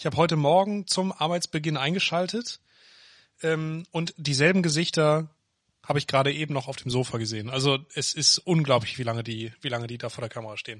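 With a normal speaking voice and a quiet background, a man talks at a fairly quick pace at fairly high pitch with ordinary pitch variation. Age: 20s. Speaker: podcast co-host. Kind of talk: casual chat. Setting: home office.

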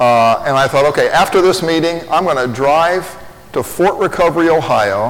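Over noticeable background noise and audible room echo, a man with a Midwestern American accent talks at a moderate pace. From Indiana (Lafayette). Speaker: pastor. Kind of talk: sermon.

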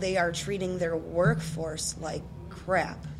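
There is noticeable background noise and audible room echo as a woman speaks with an American accent. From Chicago area, US Midwest. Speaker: podcast host. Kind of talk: casual interview. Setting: local brewery.

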